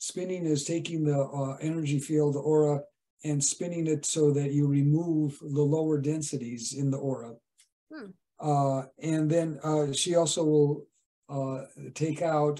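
At a fairly slow pace, a man speaks in a dark, mellow tone with monotone, flat intonation. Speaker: interview guest, spiritual teacher. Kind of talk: interview answer. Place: home room. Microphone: video call.

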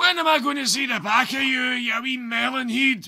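A cartoonish character voice moves at a moderate pace with ordinary pitch variation. The tone is bright and sharp, with vocal fry. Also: man, extremely high pitch for a man.

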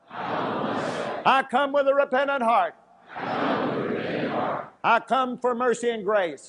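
Over noticeable background noise, a man with an extremely high pitch speaks at a very slow pace with ordinary pitch variation. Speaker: preacher. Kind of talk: fervent prayer and declarations. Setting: church service. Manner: fervent, repetitive, echoing phrases; urgent, commanding. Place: church. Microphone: lapel.

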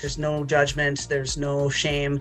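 The speech moves at a fairly quick pace with faint music in the background. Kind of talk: interview answer. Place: home room. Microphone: webcam.

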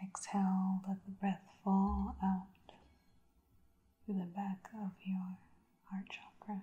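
The speech moves at a very slow pace with long, frequent pauses and a calm tone. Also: woman. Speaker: reiki practitioner. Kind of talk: guided breathing meditation. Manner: slow, calm. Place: home room.

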